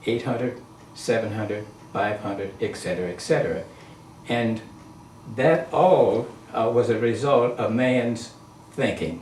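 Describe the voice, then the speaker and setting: Audible room echo surrounds a man speaking at a medium pitch with ordinary pitch variation and long, frequent pauses. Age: 80s+. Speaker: interviewee on spirituality. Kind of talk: casual interview.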